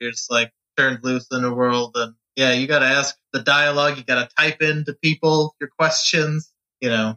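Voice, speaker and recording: This is a man with an ordinary speaking voice at medium pitch. He talks at a moderate pace with fairly even intonation. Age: 30s. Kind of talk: casual chat.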